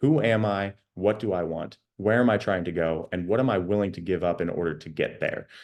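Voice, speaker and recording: Against a quiet background, a man talks at a fairly quick pace with hardly any pauses. His pitch is fairly low, with ordinary variation. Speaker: life coach. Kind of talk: online workshop. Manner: fast.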